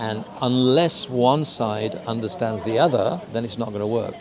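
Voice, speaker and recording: Over noticeable background noise, a man with a British accent talks at a moderate pace in a medium pitch with ordinary pitch variation. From UK. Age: 70s. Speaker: intercultural consultant. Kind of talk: interview.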